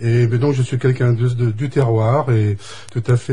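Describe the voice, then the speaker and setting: A man's normal speaking voice, medium in pitch with fairly even intonation. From western France (Deux-Sèvres). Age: 60s. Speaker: election candidate. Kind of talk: radio interview.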